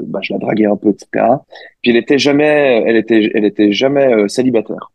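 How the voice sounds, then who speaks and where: A man at medium pitch and a moderate pace, with fairly even intonation. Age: 30s. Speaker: interview guest, married father. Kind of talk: casual interview. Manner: halting.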